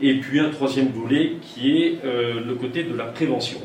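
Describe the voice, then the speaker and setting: Amid noticeable background noise and audible room echo, a man with a medium pitch speaks at a fairly slow pace. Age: 60s. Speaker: municipal election candidate, retired military officer. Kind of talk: campaign speech. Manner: halting, many fillers and repetitions.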